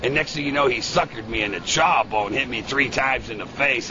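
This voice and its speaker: Over crowd noise in the background, a man with an American accent speaks fairly quickly in an excited tone with ordinary pitch variation. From Chicago. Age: 60s. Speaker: war veteran. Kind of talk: interview answer. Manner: excited, rambling.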